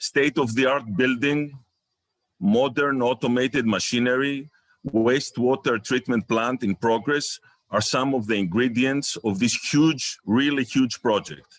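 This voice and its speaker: Speaking in a Greek accent at a fairly slow pace, a man uses a medium pitch with ordinary pitch variation and very even loudness, recorded dry and close with no echo. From Greece. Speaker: researcher and chemical company owner. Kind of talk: conference presentation. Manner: halting.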